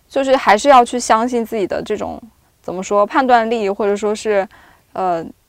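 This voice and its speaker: At a fairly quick pace, a woman with a plain, everyday voice speaks in a fairly high pitch with ordinary pitch variation. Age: 30s. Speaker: video producer. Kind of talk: casual chat.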